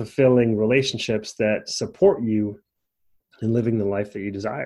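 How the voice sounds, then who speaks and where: A man speaks at medium pitch with fairly even intonation. His is an unremarkable speaking voice at a moderate pace. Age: 40s. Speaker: life coach podcast host. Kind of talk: solo podcast monologue. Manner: casual with frequent fillers.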